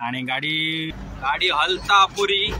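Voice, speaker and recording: A man with a fairly high pitch talks while noticeable background noise carries on. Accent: Konkan. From Konkan, Maharashtra. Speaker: truck driver. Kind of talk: casual vlog narration while driving.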